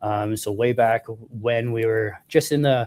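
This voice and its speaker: On a very clean recording with a silent background, a man's voice sounds dry and close with no echo. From Prince Edward Island, Canada. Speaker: cannabis product manager. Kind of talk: interview. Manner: halting.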